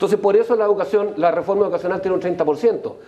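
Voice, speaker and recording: With noticeable background noise behind him, a man speaks in a high voice that swings very widely in pitch. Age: 60s. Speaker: political panelist. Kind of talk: heated debate. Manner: animated.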